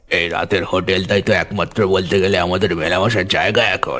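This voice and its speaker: A man puts on a cartoonish character voice at a very deep, low pitch. He keeps a moderate pace over clear background music. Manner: confiding, chuckling.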